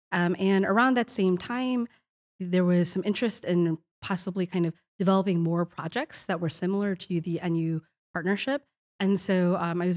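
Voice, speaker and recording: On a very clean recording with a silent background and a dry, close sound with no echo, a woman with an American accent speaks at a fairly quick pace with medium pitch and ordinary pitch variation. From Chicago, US. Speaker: university director and lecturer. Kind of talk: interview.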